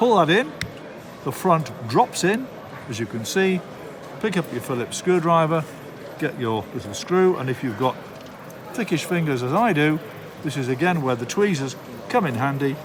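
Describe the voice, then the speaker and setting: Noticeable background noise surrounds a man with a fairly high pitch and very wide pitch swings. He keeps a moderate pace but takes long, frequent pauses. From Darlington, England. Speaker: model railway live steam instructor. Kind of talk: hobby tutorial demonstration. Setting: model rail show.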